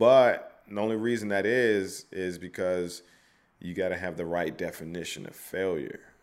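In a normal speaking voice, a man talks at a moderate pace and fairly low pitch, with ordinary pitch variation and big swings in loudness. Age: 30s. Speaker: poet and non-profit founder. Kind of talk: casual chat.

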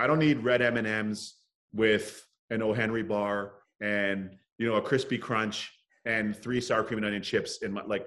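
Speaking at a moderate pace with a Canadian accent, a man uses a normal speaking voice at medium pitch with fairly even intonation. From Toronto, Canada. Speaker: hockey broadcaster. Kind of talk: casual chat.

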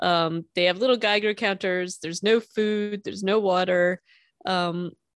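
A woman with a plain, everyday voice talks at a moderate pace and medium pitch, her intonation fairly even. The sound is dry and close with no echo, over a quiet background. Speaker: podcast co-host. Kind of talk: casual chat. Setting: remote recording.

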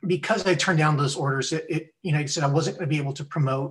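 This man's fairly high voice rushes along at a very fast pace, showing ordinary pitch variation. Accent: American. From US, Texas (Laredo). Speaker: retired naval officer and scientist. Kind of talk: casual interview. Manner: halting, repeats words.

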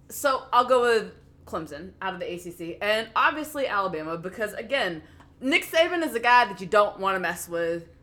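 A woman with an American accent talks at a moderate pace in a fairly high voice. Her tone is bright and sharp, and her pitch swings very widely. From US South, Memphis. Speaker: sports podcast co-host. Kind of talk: casual chat.

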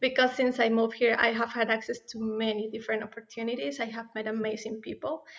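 With a Spanish accent, a woman talks at a fairly high pitch. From Ecuador. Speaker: startup co-founder and business student. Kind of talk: interview. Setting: remote recording from separate studio.

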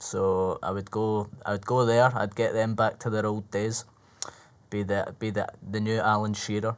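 A man with a Scottish accent talks at a moderate pace in a fairly low pitch with monotone, flat intonation. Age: 20s. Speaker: stand-up comedian. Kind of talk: casual chat.

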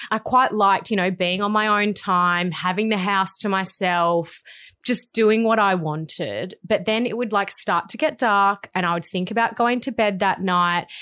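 The voice is bright and sharp, with an Australian accent, ordinary pitch variation and a moderate pace, on a very clean recording with a silent background. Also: woman, medium pitch for a woman. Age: 30s. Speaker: podcast co-host. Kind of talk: casual chat. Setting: studio.

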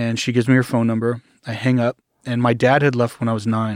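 A man with an American accent speaks at a moderate pace in a medium pitch, his intonation flat and monotone, on a very clean recording with a silent background. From Arkansas, US South. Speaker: cult survivor. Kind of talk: interview, personal story.

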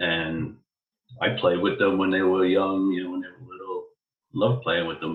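Speaking with a New York accent, a man with a very deep, low pitch keeps a moderate pace and fairly even intonation while his loudness swings widely. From New York, the Bronx. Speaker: podcast guest. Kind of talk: casual chat.

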